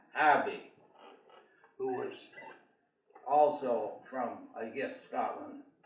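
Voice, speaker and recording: A man at a very slow pace, with audible room echo. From New England, Vermont. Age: 90s. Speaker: church parishioner, military veteran. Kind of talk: oral history storytelling. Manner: halting, frequent fillers.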